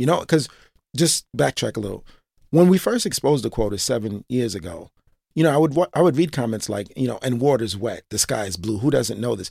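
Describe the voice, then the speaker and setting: Speaking with a New York accent at a fairly quick pace, a man has a dark, mellow tone, medium pitch and lively intonation, captured on a very clean recording with a silent background. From New York, Brooklyn (East Flatbush). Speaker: former police officer and reform advocate. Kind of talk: interview. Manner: halting, with frequent fillers and repetitions.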